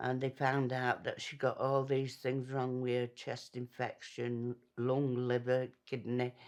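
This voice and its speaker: The speaker talks at a fairly slow pace in a Yorkshire accent. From northern England, Doncaster, Yorkshire. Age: 70s. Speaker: former smoker. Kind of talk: testimony.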